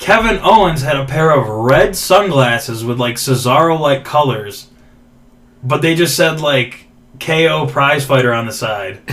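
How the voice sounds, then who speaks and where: Audible room echo surrounds a man who speaks at a fairly slow pace with lively intonation. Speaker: podcast host. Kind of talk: casual chat. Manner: stuttering today.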